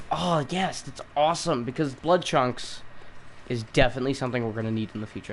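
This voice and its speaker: A man talks at a medium pitch with ordinary pitch variation over noticeable background noise. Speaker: gaming streamer. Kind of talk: live gameplay commentary. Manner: halting, repeats words.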